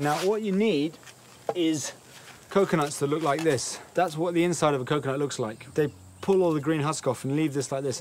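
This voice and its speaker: Over light background noise, a man talks at a moderate pace, his pitch varying in an ordinary way. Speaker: travel food show host. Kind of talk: casual presenter commentary. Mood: playful, joking. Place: open country. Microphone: lapel.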